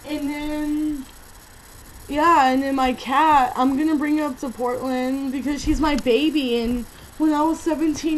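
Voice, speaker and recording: Over noticeable background noise, a woman with an American accent speaks at a high pitch with fairly even intonation. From California. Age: 20s. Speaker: vlogger. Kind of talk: personal vlog monologue.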